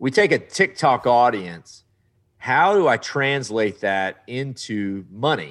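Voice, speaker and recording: A man with a Texan accent, on a very clean recording with a silent background. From Southeast Texas. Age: 40s. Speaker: travel TV show host. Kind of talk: casual interview. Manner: animated.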